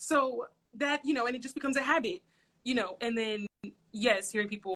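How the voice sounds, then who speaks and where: The voice carries a bright, sharp tone and lively intonation. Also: woman. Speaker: social worker. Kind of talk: casual chat. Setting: livestream video. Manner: loud.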